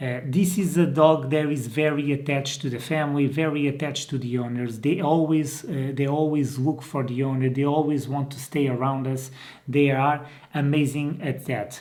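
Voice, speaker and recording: A man with a Portuguese accent talks at a moderate pace in a fairly high pitch. His intonation is fairly even, and room echo is audible. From Portugal. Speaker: dog breeder and trainer. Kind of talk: informal video tutorial. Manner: hesitant, with many fillers and restarts.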